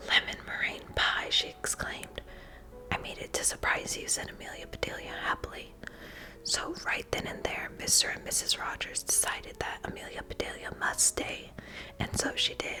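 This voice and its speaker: Whispering over noticeable background noise. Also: moderate pace. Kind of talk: children's book reading. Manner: whispered.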